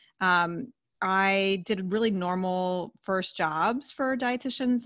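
In a very clean recording with a silent background, a woman with a normal speaking voice talks at a medium pitch with ordinary pitch variation. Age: 40s. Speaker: dietitian. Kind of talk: interview.

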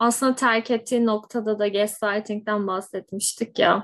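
A woman is speaking. Her pace is very slow. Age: 20s. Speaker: podcast host, psychology professional. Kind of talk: casual chat.

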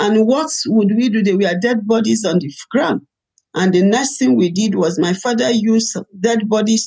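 In a Nigerian accent, a woman speaks at a moderate pace. Her fairly high voice carries lively intonation. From Nigeria, Ibadan. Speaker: pastor and evangelist. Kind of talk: testimony. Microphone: laptop.

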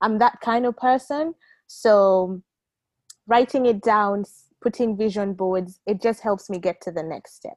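An ordinary speaking voice with ordinary pitch variation and big swings in loudness, in a dry, close recording with no echo. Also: woman, fairly high pitch for a woman, fairly slow pace. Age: young. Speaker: volunteer and young professional. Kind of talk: casual chat.

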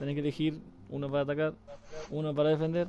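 This man talks at a very fast pace. His pitch sits fairly high. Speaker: gaming podcast host. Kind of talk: casual interview.

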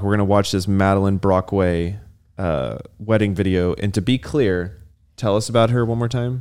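In a very clean recording with a silent background, a man with a plain, everyday voice speaks at a fairly quick pace and fairly low pitch, with ordinary pitch variation and very even loudness. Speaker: podcast co-host. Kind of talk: casual chat.

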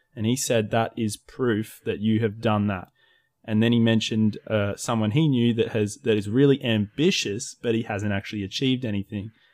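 A man with an Australian accent, medium pitch, moderate pace and fairly even intonation. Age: 20s. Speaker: YouTube creator. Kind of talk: casual chat.

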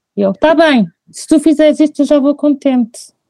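Heard dry and close with no echo, a woman speaks at a moderate pace in a dark, mellow tone. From Portugal, Figueira da Foz. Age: 20s. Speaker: mother telling her birth stories. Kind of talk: testimony in casual chat. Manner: animated.

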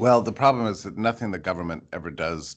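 The speaker moves at a fairly quick pace, with ordinary pitch variation. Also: man. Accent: American. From Texas. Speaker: economics writer. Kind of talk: interview.

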